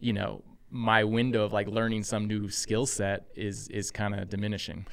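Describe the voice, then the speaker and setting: A man's fairly low voice at a moderate pace. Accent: American. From Texas. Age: 40s. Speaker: army veteran and snack company CEO. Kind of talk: interview conversation.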